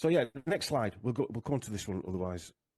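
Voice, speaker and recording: Against a quiet background, a man with a Yorkshire accent speaks with lively intonation. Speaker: genealogy researcher, podcaster. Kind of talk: casual interview presentation. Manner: halting, many fillers.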